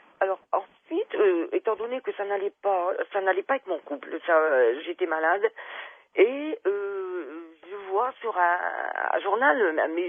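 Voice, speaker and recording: A woman's medium-pitched voice at a very slow pace, with lively intonation. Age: 70s. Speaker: caller. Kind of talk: testimony. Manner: halting.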